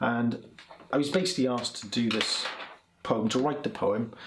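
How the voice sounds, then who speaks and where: Noticeable background noise sits behind a man speaking at a moderate pace, his medium pitch showing ordinary variation. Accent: South Welsh. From South Wales (Port Talbot, Swansea). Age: 40s. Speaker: poet. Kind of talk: poetry reading; casual introduction between poems. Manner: hesitant, many fillers and repeats.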